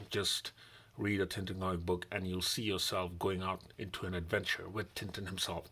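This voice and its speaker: The speaker is a man who talks at a moderate pace. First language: non-English mother tongue. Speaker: comic book reviewer. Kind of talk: unboxing and review vlog. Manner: casual, repetitive.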